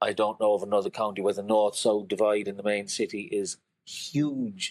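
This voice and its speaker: A man speaks in a Cork accent. The sound is dry and close with no echo. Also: very clean recording, silent background. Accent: Cork Irish. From Cork, Ireland. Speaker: creative director, poet and artist. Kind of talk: podcast interview answer.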